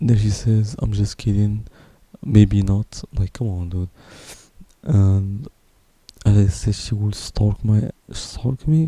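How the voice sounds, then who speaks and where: Soft-spoken and somewhat breathy, a man with a fairly low pitch and a dark, mellow tone speaks at a very slow pace with long, frequent pauses, the sound dry and close with no echo. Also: ordinary pitch variation. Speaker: vlogger. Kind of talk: personal testimony. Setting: at home at night. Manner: quiet, speaking softly at night; halting. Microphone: broken pop filter, possible plosive noise.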